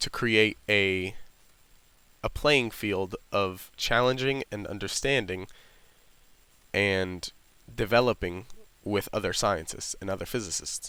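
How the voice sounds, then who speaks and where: In a very clean recording with a silent background, a man with a bright, sharp tone and fairly low pitch speaks very slowly, with ordinary pitch variation and long, frequent pauses. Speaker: university physics student. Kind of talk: casual reflective talk to camera.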